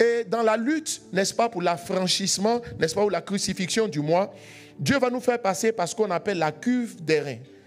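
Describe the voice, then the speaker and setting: Over music in the background, a man talks at a moderate pace with lively intonation. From Ivory Coast. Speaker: pastor. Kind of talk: sermon.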